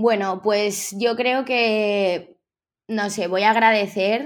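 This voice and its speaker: Captured on a very clean recording with a silent background, a woman has an ordinary speaking voice at medium pitch with fairly even intonation. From Spain, Villarreal (Valencian Community). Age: 20s. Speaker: tattoo artist. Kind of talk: interview.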